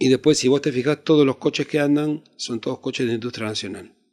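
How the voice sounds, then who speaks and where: A man with a Rioplatense accent and ordinary pitch variation, on a very clean recording with a silent background. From Argentina. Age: 60s. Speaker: actor. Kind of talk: interview. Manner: halting.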